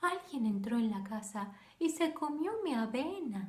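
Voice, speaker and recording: In a put-on character voice, a woman speaks softly at a high pitch. Her pace is fairly slow. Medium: read story.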